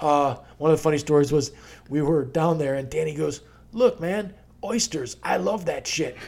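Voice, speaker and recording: At a moderate pace, a man with a plain, everyday voice speaks at a fairly high pitch with lively intonation. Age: 40s. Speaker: podcast host. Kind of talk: casual chat.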